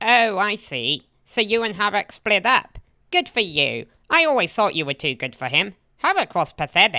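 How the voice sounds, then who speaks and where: At a moderate pace, a female-sounding put-on character voice speaks at a medium pitch. The recording is very clean with a silent background. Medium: machinima.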